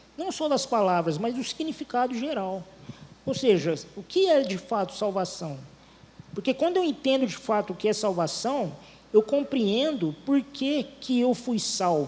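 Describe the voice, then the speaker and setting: With very wide pitch swings, a man talks at an extremely high pitch and a fairly slow pace. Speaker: preacher. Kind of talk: sermon. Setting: church.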